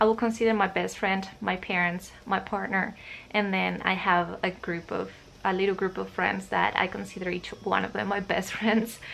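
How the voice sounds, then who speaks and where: A woman with a Spanish accent at a moderate pace, amid noticeable background noise. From Spain, Madrid region. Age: 20s. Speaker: vlogger. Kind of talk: casual chat. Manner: hesitant, many fillers.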